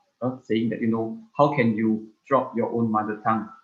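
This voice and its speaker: A man speaks in a Malaysian accent. His pitch is medium. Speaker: speaker on culture and heritage. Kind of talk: online talk Q&A. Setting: video call. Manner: hesitant, many fillers.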